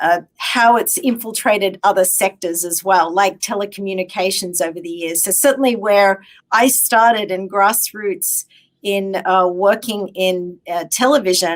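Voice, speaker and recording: In an Australian accent, a woman speaks at a fairly slow pace with medium pitch and ordinary pitch variation. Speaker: technology executive. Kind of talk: interview. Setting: live stream.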